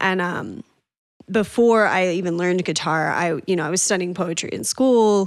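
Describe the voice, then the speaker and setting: With an American accent, a woman speaks in a plain, everyday voice at a medium pitch. Her pace is moderate, and the recording is very clean over a silent background. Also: ordinary pitch variation. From Northern Colorado. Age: 30s. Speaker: singer-songwriter. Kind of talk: casual interview chat.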